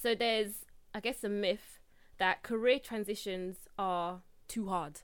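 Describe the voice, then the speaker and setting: Here a woman has an unremarkable speaking voice, pitched at a medium level with ordinary pitch variation. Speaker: podcast host. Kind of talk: casual interview chat.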